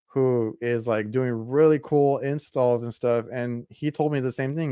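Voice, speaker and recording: A man speaks in a Texan accent at medium pitch. His intonation is flat and monotone, and the recording is very clean with a silent background. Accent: Texan American English. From South Texas. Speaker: podcast host. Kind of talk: casual interview chat.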